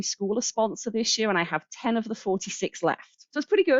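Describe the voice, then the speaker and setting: Talking at a fairly quick pace, a woman speaks with an English accent. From England, Birmingham. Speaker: charity coordinator. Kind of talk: interview.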